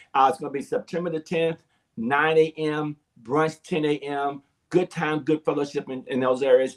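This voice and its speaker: A man at a fairly high pitch and moderate pace, in a dry, close sound with no echo. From Arizona. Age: 60s. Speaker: pastor. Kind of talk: interview. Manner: halting; animated.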